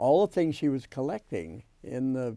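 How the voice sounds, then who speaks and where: The man's voice sits at a medium pitch with a dark, mellow tone. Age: 80s+. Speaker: memoir author, family elder. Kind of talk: oral history interview. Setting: home studio. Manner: halting, many fillers.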